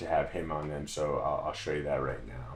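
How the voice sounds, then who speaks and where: Audible room echo surrounds the man who is talking. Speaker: musician and producer. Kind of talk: tutorial. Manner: halting.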